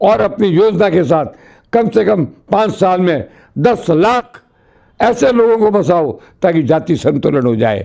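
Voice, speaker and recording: A man's pitch swings very widely as he talks in a dark, mellow tone. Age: 80s+. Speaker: former state cabinet minister, politician. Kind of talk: interview. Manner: forceful.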